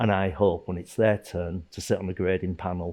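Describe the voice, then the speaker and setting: Speaking with a Yorkshire accent, a man keeps a fairly even intonation. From northern England, Leeds, Yorkshire. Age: 60s. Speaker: martial arts instructor. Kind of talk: documentary interview. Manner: casual, halting with fillers.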